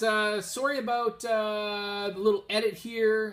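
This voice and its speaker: A man mumbles. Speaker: comic book collector. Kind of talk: casual talk to camera. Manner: mumbling, hesitant, many filler words.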